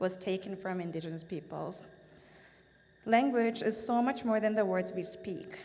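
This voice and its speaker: At a moderate pace, a woman speaks with audible room echo around her voice. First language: Korean. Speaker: business association board chair. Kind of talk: formal speech. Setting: stage at event with audience.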